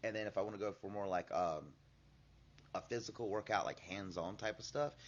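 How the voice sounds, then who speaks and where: This man has an ordinary speaking voice with a fairly low pitch. He moves at a fairly quick pace with ordinary pitch variation. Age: 40s. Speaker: martial arts instructor. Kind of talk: casual interview chat. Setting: martial arts studio.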